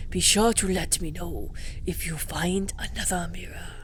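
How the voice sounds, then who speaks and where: A woman speaks at a fairly slow pace in a put-on character voice. Clear background noise runs underneath. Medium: game stream. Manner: polite, measured.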